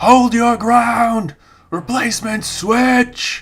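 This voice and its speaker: Someone shouts in a put-on character voice at a very slow pace, the intonation fairly even. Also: man, extremely high pitch for a man. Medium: read story. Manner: commanding, shouting orders.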